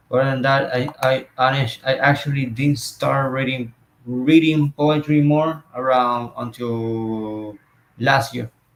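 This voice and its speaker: A man with a Spanish accent talks at a very slow pace. His intonation stays fairly even. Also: medium pitch for a man. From Puerto Rico. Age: 30s. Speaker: interviewer and poet. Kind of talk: interview. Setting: video call livestream. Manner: halting.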